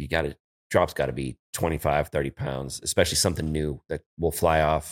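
The voice moves at a fairly quick pace and carries vocal fry. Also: man, very deep, low pitch for a man. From San Francisco, California. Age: 40s. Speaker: cannabis grower and brand owner. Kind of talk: casual chat. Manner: animated.

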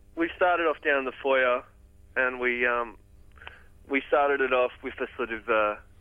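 A man's medium-pitched voice with an Australian accent, fairly even intonation, a moderate pace, and long, frequent pauses. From Australia, Port Macquarie NSW. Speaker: musician. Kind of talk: interview. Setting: phone call.

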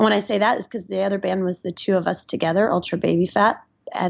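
Delivered at a very fast pace with an American accent, the speech has vocal fry and a monotone, flat intonation. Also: woman. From US South, Nashville, Tennessee. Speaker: musician and lawyer. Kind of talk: casual chat.

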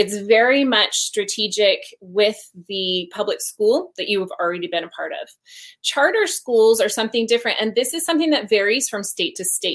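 Lively in intonation and fairly high in pitch, a woman talks in a plain, everyday voice. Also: moderate pace. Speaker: homeschool expert. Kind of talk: informative panel discussion.

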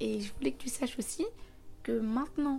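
A woman speaks at a moderate pace with a dark, mellow tone. Her voice is somewhat breathy. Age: 20s. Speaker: podcast host. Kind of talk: casual monologue.

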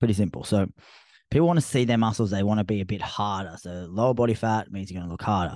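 With an Australian accent, a man talks at a very fast pace. His fairly low voice shows ordinary pitch variation. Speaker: fitness coach podcaster. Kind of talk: solo podcast monologue. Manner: casual, conversational.

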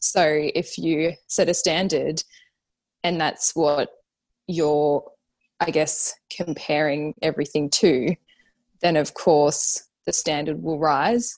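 Speaking very slowly with long, frequent pauses, a woman uses a very deep, low pitch and fairly even intonation in an Australian accent against a quiet background. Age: 30s. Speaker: fashion designer and brand founder. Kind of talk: casual interview chat.

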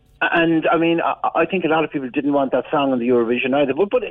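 A man with an Irish accent, fairly high-pitched, at a fairly quick pace. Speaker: music expert. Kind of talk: radio interview.

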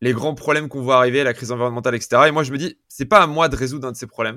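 A man speaks at a medium pitch. His tone is bright and sharp. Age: 20s. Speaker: entrepreneur. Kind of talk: interview conversation. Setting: video call.

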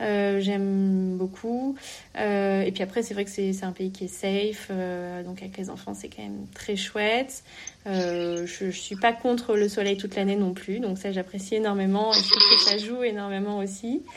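A woman's medium-pitched voice at a fairly slow pace, with big swings in loudness. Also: fairly even intonation. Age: 30s. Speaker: entrepreneur. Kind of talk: interview. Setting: remote call. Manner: halting.

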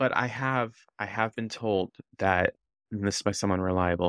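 A man speaks in a normal speaking voice. His pitch sits fairly low, and the background is quiet. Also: dry, close sound with no echo. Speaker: podcast co-host. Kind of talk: casual chat recapping reality TV.

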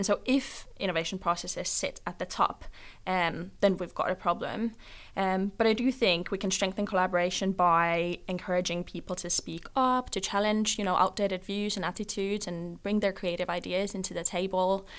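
The recording is very clean, with a silent background. Speech comes at a fairly quick pace with fairly even intonation. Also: woman. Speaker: policy advisor at an insurance trade body. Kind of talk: interview answers, professional discussion. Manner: hesitant, with filler words.

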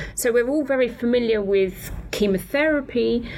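Over noticeable background noise, a woman with a British accent speaks at a moderate pace. Her intonation is lively. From Britain. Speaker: paediatric oncologist and haematologist. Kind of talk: interview explaining medical topic.

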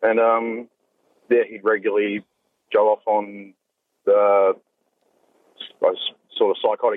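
Man's fairly low, monotone voice with flat intonation at a fairly slow pace. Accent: Australian. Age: 20s. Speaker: reformed domestic violence perpetrator. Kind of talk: personal testimony.

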